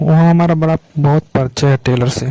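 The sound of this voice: A man's fairly high-pitched voice with a dark, mellow tone, fairly even intonation and a moderate pace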